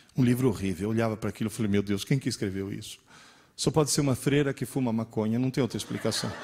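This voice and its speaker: A man is talking. His pace is very fast. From Italy. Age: 60s. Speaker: teacher. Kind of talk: lecture. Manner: animated.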